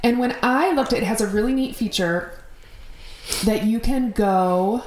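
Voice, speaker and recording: With an American accent, a woman speaks at a fairly high pitch and a moderate pace. Her pitch variation is ordinary, and audible room echo surrounds her. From Minnesota. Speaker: podcast host. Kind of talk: casual chat.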